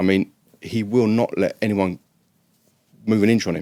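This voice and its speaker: A man with an English accent and fairly even intonation, in a very clean recording with a silent background and a dry, close sound with no echo. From northwest London, England. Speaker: former prisoner and drug chemist. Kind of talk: interview storytelling.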